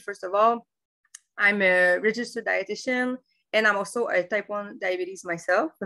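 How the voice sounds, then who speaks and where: Her tone is bright and sharp. This woman speaks at a medium pitch with ordinary pitch variation. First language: French. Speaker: dietitian. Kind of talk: webinar presentation. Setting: online webinar. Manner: halting, many fillers.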